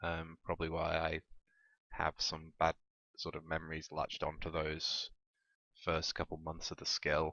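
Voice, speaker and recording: A man with a very deep, low pitch speaks at a moderate pace in a monotone, flat intonation, with long, frequent pauses. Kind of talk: casual talk to camera. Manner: hesitant, rambling.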